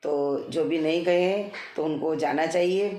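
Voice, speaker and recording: There is audible room echo around a woman's voice. Her pitch varies in an ordinary way. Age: 60s. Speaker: devotional vlogger. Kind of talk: casual talk about pilgrimage. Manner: hesitant with fillers.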